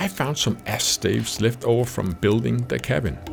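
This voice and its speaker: There is noticeable background noise. A man speaks through it at a moderate pace. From Denmark. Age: 50s. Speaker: woodworking YouTuber. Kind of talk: scripted narration.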